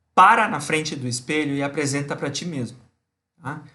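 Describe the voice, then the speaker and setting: Audible room echo surrounds a man's fairly high voice. He talks at a moderate pace with a bright, sharp tone. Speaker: university lecturer. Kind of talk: online lecture. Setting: live stream class. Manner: animated.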